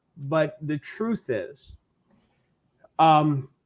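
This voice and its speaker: A man with a New York accent talks at a fairly high pitch on a very clean recording with a silent background. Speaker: real estate coach. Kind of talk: podcast interview.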